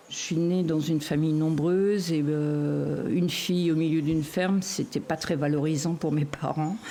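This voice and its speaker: A woman's fairly low-pitched, fairly slow speech amid noticeable background noise. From western France (Anjou), farm family. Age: 60s. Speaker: foster carer, former beekeeper. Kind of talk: personal testimony interview. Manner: hesitant with repetitions.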